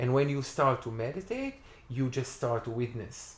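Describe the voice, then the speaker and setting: A man speaks with an Israeli accent and ordinary pitch variation. His voice is somewhat breathy. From Israel, Tiberias. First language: Hebrew. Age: 40s. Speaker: festival organizer. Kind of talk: casual interview. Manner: halting.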